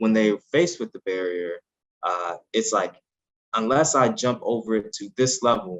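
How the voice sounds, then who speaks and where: With an American accent, a man in an ordinary speaking voice talks at a moderate pace and medium pitch, his intonation lively. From US Midwest, North St. Louis area. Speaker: scientist and author. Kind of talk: interview.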